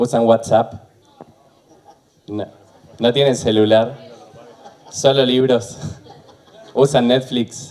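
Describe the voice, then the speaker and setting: Speaking in a monotone with flat intonation, a man at medium pitch goes at a very slow pace with long, frequent pauses. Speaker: university program director, computer science. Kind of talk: panel talk. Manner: hesitant fillers.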